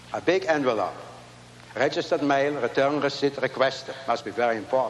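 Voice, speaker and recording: A man with a fairly high pitch and fairly even intonation at a fairly quick pace, against noticeable background noise. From Latvia. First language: not English. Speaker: inventor and Holocaust survivor. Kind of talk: keynote speech. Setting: stage with audience.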